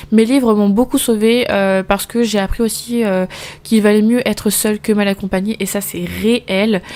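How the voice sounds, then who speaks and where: Using a monotone, flat intonation, a woman speaks in a fairly high pitch. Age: 20s. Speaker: postnatal caregiver and podcast host. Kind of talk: casual personal monologue. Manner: very fast; hesitant, stumbles over words.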